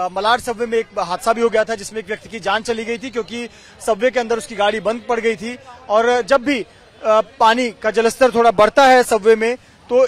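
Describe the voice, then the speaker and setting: The recording is dry, with no echo. A man talks at an extremely high pitch in a monotone, flat intonation. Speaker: TV field reporter. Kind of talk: news report to camera. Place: street. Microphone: handheld.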